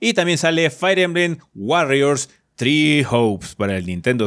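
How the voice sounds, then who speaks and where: His pitch fairly high for a man and swinging very widely, a man talks at a fairly slow pace. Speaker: podcast host. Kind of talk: casual chat.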